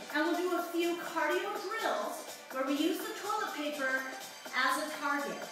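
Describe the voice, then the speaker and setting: Over clear music in the background and strong room echo, a woman projects a raised voice at a moderate pace with ordinary pitch variation. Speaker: fitness instructor. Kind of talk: tutorial. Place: home room. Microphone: camera far.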